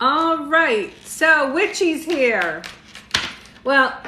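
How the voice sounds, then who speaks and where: A woman's raised, projected voice, with audible room echo and noticeable background noise. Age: 60s. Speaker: tarot reader. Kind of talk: live stream tarot reading. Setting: livestream with viewer comments. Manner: casual, chatty.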